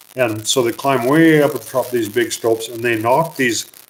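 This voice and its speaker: A man's voice of medium pitch and ordinary pitch variation, with noticeable background noise. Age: 50s. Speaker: mine explorer and museum owner. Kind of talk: live stream Q&A; storytelling. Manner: casual, hesitant with fillers.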